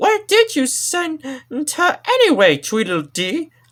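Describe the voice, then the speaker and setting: A put-on character voice, high and squeaky, with very wide pitch swings. The pace is fairly slow. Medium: read story. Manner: happy-go-lucky, silly.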